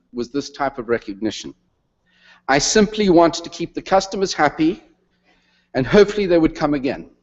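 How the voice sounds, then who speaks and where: Speaking fairly quickly with a South African accent, a man uses lively intonation and a fairly high pitch. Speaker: retired retail executive, honorary degree recipient. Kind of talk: convocation speech.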